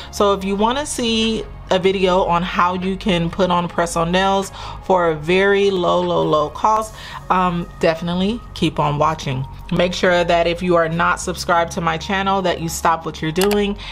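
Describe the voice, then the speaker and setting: Faint music plays in the background as a woman with a fairly low pitch talks at a moderate pace with fairly even intonation. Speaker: budget channel host. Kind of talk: casual vlog chat. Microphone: camera far.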